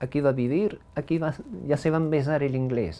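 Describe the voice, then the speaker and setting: This man's tone is dark and mellow. He speaks at a fairly slow pace. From US Northeast, the Bronx, New York. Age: old. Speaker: heritage language speaker. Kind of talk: life story interview. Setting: at home. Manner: halting, many fillers.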